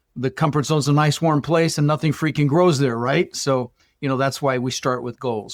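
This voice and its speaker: With music in the background, a man talks fairly quickly at a medium pitch, the sound dry and close with no echo. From Colorado, US (Dutch-born). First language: Dutch. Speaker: real estate investor. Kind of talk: podcast interview. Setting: podcast. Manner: animated.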